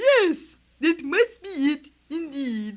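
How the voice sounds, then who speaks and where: A squeaky, high-pitched, put-on character voice. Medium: audio drama. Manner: formal, elaborate wording.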